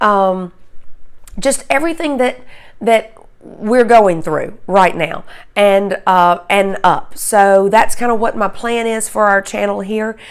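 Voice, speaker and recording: A woman speaks very slowly with a slight Southern US accent, her fairly high pitch showing ordinary variation. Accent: slight Southern drawl. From US South. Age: 50s. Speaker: beauty and lifestyle vlogger. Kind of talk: channel intro vlog. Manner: halting, many fillers.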